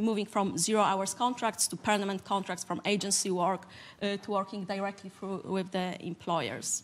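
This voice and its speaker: At a moderate pace, a woman with a Polish accent speaks in a medium pitch with monotone, flat intonation on a very clean recording with a silent background. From Poland. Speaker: civil society leader, panelist. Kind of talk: panel discussion statement. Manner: halting.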